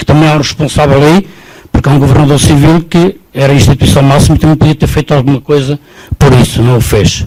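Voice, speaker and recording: With noticeable background noise behind him, a man talks at a fairly quick pace and a fairly high pitch. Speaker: audience member at public debate. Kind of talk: public debate question.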